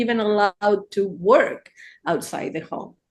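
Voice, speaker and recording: A woman with an Argentine accent speaks at a fairly slow pace over a quiet background. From Argentina. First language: Spanish. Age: 60s. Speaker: therapist. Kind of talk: casual chat.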